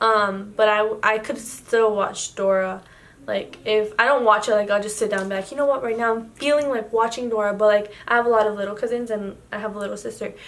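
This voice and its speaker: In an audible room echo, a woman with a Spanish accent speaks at a fairly quick pace. Her pitch is fairly high and her intonation fairly even. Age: 18. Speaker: YouTuber. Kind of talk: casual chat. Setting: home, night, yellow lamp. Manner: hesitant, filler-heavy.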